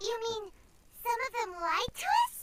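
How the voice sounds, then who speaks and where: A squeaky, put-on character voice at an extremely high pitch. It moves along at a moderate pace. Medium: video game. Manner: earnest, direct.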